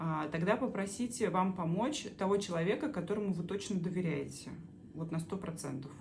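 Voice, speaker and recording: At a moderate pace, a somewhat breathy voice speaks with ordinary pitch variation in audible room echo. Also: woman. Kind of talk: explainer monologue answering viewer questions. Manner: halting with many filler sounds.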